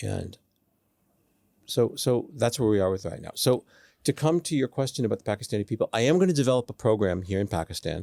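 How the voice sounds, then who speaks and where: At a very fast pace, a man with a medium-pitched, dark and mellow voice speaks with lively intonation, the sound dry and close with no echo on a very clean recording with a silent background. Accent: Boston. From US Northeast (Boston). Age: 60s. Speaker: student mentor. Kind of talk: interview.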